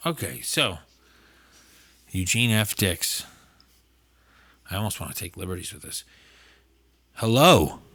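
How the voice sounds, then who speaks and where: A man with an American accent speaks at a fairly low pitch in a bright, sharp tone. His pace is fairly slow, his intonation lively, and he takes long, frequent pauses. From Massachusetts, US. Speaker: podcast host. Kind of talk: casual chat; reading aloud.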